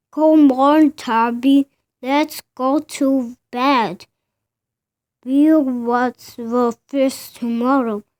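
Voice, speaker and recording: A put-on character voice drags along at a very slow speed. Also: woman, high pitch for a woman. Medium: read story. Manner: gentle, patient.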